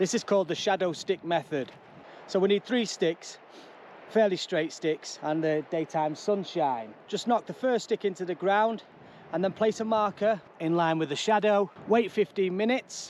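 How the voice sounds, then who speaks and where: A man with an English accent, high in pitch, at a moderate pace with ordinary pitch variation. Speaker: travel vlogger. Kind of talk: casual vlog narration. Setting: outdoors. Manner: hesitant, many ums.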